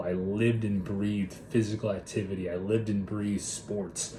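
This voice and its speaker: In an American accent, a man speaks at a moderate pace with a fairly low, monotone, flat delivery. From Minnesota, US Upper Midwest. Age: 20s. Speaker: mindset and body transformation coach. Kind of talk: personal story monologue. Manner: casual, talkative.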